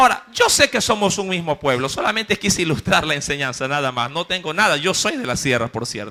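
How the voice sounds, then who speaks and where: A man talks at a fairly quick pace with hardly any pauses and an animated tone. His fairly high pitch swings very widely. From Ecuador, coast (Guayaquil). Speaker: preacher. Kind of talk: sermon. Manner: animated storytelling.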